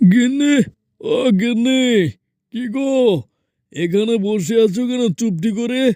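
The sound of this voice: Using a cartoonish character voice, a man speaks with lively intonation.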